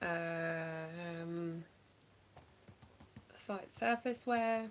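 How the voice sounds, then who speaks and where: The speaker has an English accent and ordinary pitch variation, with light background noise behind the voice. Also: woman. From England. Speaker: online reseller; live stream reseller. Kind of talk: casual livestream chat. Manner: casual, hesitant with fillers. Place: home room. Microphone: phone near.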